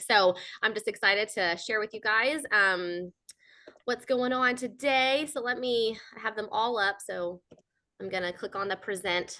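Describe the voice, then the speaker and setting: A woman with a fairly high pitch speaks with lively intonation in a bright, sharp tone. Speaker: business coach and speaker. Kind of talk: live webinar presentation. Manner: fast; animated.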